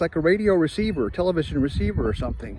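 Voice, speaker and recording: Loud and fairly quick, a man speaks with a high pitch and ordinary pitch variation. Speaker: vlogger. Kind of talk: casual monologue. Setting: outdoors. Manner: fast.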